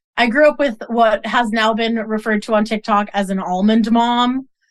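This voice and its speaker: A woman with an American accent and an unremarkable speaking voice talks at a fairly slow pace in a fairly high pitch, with a quiet background. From US Northeast, Boston. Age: 20s. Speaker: model and activist. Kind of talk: interview conversation.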